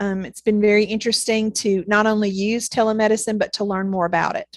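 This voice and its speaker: Against a quiet background, a woman with a Southern US accent talks very fast in a fairly high, monotone voice with flat intonation. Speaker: neonatal nurse practitioner and nursing professor. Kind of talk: interview. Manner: hesitant, many fillers.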